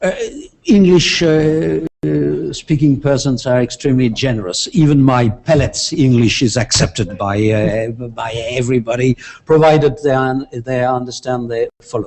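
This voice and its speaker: This man speaks with a French accent at a medium pitch. His intonation is lively. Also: moderate pace. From France. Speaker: international law professor. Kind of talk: interview. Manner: halting.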